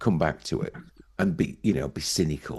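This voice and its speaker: Vocal fry marks this man's voice, in a northern English accent. He speaks at a moderate pace with very wide pitch swings. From northern England. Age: 50s. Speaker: podcast host. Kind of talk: casual chat.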